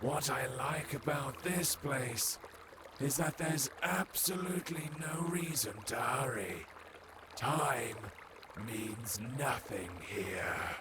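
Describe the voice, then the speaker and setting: Clear background noise runs beneath a man doing a put-on character voice, calm in tone and fairly high in pitch, delivered at a very slow pace. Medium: video game. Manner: calm, unhurried.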